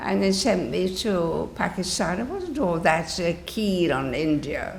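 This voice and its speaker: With noticeable background noise, a woman speaks fairly slowly in a fairly low pitch and lively intonation. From England. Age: 80s+. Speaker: nun. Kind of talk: interview answer.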